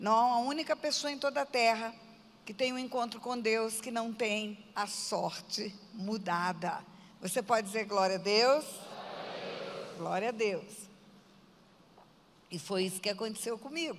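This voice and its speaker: A woman's fairly high voice at a fairly slow pace, with long, frequent pauses, big swings in loudness, and ordinary pitch variation. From Brazil, Mato Grosso do Sul (Aquidauana). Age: 60s. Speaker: pastor. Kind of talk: testimony.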